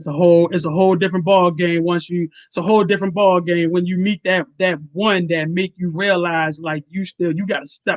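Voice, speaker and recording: A man with a Baltimore accent speaks at a high pitch and a fairly quick pace with hardly any pauses and fairly even intonation, the sound dry and close with no echo. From Baltimore, Maryland. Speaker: comedian and show host. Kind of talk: casual interview chat.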